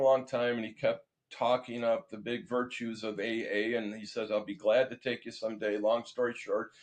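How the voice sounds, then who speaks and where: A man talks moderately fast in a normal speaking voice, pitched at a medium level. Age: 60s. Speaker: recovering alcoholic and sober community founder. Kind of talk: interview testimony. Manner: conversational, with false starts.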